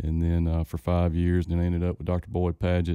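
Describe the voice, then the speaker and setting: On a very clean recording with a silent background and a dry, close sound with no echo, a man with a very deep, low pitch and a dark, mellow tone speaks at a fairly quick pace in a monotone, flat intonation. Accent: Louisiana. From northeast Louisiana, Winsboro. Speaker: plant pathologist. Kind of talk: casual interview. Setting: studio.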